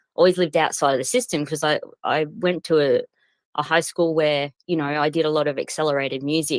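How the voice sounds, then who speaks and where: A woman with an Australian accent speaks at a fairly quick pace in a very deep, low pitch with ordinary pitch variation. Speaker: professional singer and crypto project owner. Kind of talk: interview. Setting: online audio space. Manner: hesitant, many fillers.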